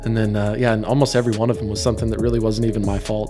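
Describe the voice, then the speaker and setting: A man speaks at a very fast pace while music plays behind him. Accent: American. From North Idaho, USA. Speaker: real estate agent, Navy veteran. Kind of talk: interview answer.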